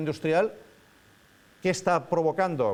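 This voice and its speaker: Here a man is talking. His delivery runs at a fairly quick pace. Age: 60s. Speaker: professor. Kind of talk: lecture. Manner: informal, halting with many fillers.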